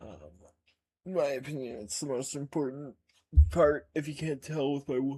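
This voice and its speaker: This man talks at a moderate pace with an American accent. His fairly high voice is somewhat breathy, fairly even in intonation, and broken by long, frequent pauses. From United States. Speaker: gaming streamer. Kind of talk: casual gameplay commentary. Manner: casual, hesitant with fillers.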